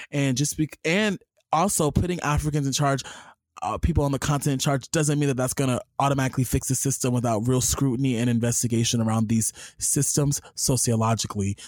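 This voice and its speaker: With an American accent, a man speaks in an animated tone at a very fast pace and medium pitch, showing ordinary pitch variation and very even loudness in a dry, close sound with no echo. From US, Los Angeles. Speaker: podcast host. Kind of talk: casual chat.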